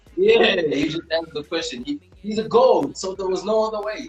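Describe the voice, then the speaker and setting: Fairly quick speech with ordinary pitch variation, over music in the background. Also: man. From South Africa. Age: 30s. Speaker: rapper. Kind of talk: casual interview.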